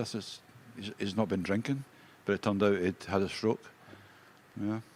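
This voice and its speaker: Fairly low in pitch, a man speaks in a Scottish accent with fairly even intonation. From Scotland. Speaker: darts player. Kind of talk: interview. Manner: halting.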